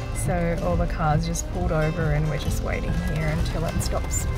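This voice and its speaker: Over loud background music, a woman speaks at a fairly slow pace, the sound dry with no echo. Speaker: vlogger. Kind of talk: casual vlog chat. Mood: calm, warm. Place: car. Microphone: phone near.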